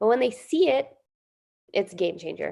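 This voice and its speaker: Over a quiet background, a woman speaks at a fairly quick pace. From New Jersey. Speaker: general dentist. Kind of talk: educational presentation. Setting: video call. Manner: fast.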